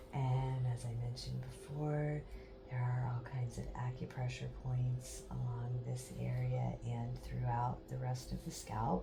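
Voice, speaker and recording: Soft-spoken and calm in tone, a woman talks at a fairly slow pace in a very deep, low pitch with very wide pitch swings, over music in the background and audible room echo. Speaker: massage therapy instructor. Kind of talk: tutorial demonstration. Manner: slow, calm.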